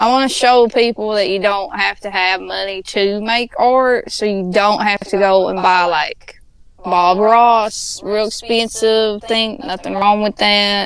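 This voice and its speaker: Over noticeable background noise, a woman with an American accent speaks fairly slowly at a medium pitch, her intonation fairly even and her speech hardly pausing. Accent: Appalachian accent, still comes out. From Appalachia, US. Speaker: podcast guest, artist and cosplayer. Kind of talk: casual chat.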